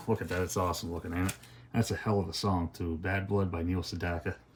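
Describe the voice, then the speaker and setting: Very fast, monotone, flat delivery over noticeable background noise. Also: man. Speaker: music collector YouTuber. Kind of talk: unboxing review. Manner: quieter than usual, subdued; normally loud.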